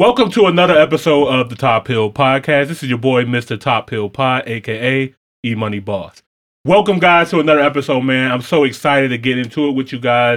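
In an animated tone, a man talks at a fairly quick pace, at a medium pitch with ordinary pitch variation. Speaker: reaction channel host. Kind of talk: casual reaction commentary.

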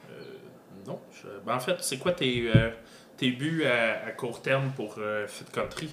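In a Quebec accent, a man of medium pitch speaks at a very slow pace with long, frequent pauses, ordinary pitch variation and big swings in loudness. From Granby, Quebec. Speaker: podcast host. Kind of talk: casual interview chat. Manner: hesitant, many filler words and repetitions.

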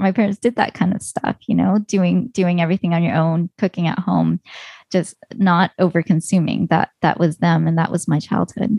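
This speaker has a Canadian accent and some vocal fry. The intonation is fairly even and the pace moderate. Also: woman, fairly low pitch for a woman. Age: 40s. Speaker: personal finance blogger and podcaster. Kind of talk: interview.

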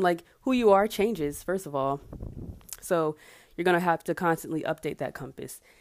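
In an American accent, a woman with a fairly low pitch and an ordinary speaking voice talks at a fairly quick pace with ordinary pitch variation, on a very clean recording with a silent background. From US South, Marietta near Atlanta, Georgia. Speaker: podcast host, aspiring life coach. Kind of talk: casual solo monologue; guided reflection activity. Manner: casual, with fillers and laughs.

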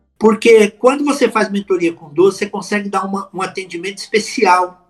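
With music in the background, a man with a high pitch speaks at a moderate pace. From São Paulo city, Brazil. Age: 50s. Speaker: public speaking coach. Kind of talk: podcast interview. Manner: animated.

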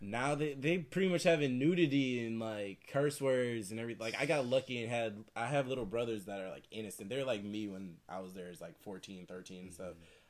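A plain, everyday voice, a man at medium pitch, fairly quick with hardly any pauses, lively intonation and big swings in loudness. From Michigan, near Detroit. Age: 20s. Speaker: podcast guest. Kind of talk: casual chat.

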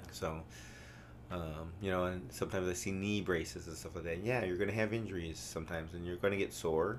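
A man's very deep, low voice at a fairly quick pace, with ordinary pitch variation and audible room echo. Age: 50s. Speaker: CrossFit coach. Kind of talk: casual chat. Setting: studio. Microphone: new mic, close to it.

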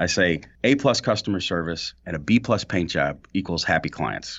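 A man with an American accent and a very deep, low voice at a fairly quick pace. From St. Louis, Missouri. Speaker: painting contractor. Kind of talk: casual chat. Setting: borrowed podcast studio office.

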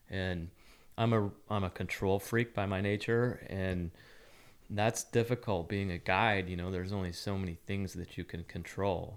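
A man with an American accent and a very deep, low pitch, fairly even intonation and a moderate pace, on a very clean recording with a silent background. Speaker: podcast co-host, bird hunter. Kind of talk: casual chat.

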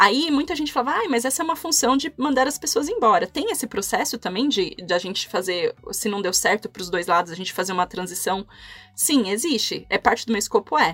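A woman talks at a fairly quick pace and fairly high pitch, her pitch swinging very widely. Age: 30s. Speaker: HR business partner. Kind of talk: casual interview. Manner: halting.

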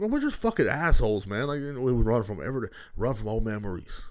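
A man with an animated tone and ordinary pitch variation at a very fast pace, on a very clean recording with a silent background. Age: 30s. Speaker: podcast host. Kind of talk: casual monologue. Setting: home recording with new microphone.

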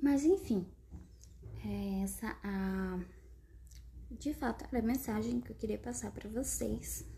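Long, frequent pauses break up the speech. The woman talks very slowly. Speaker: podcast host, writer. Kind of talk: casual solo monologue. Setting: at home, not a studio.

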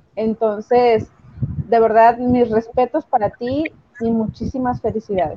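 She has a normal speaking voice with a fairly high pitch. The pace is fairly slow and the intonation fairly even. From Mexico. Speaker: podcast co-host. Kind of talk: casual chat.

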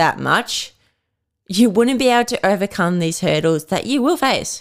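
A woman with an Australian accent. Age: 20s. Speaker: podcast host and personal trainer. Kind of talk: casual solo podcast chat.

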